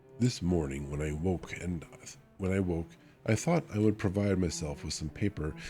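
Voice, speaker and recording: Music plays behind a man with a very deep, low pitch. He talks at a moderate pace with lively intonation. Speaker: vtuber. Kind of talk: audiobook reading.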